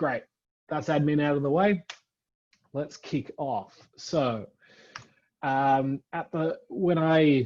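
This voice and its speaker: This is a man talking with an Australian accent. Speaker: front-end software architect. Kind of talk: tech talk presentation. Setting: virtual event. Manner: many fillers (um, uh).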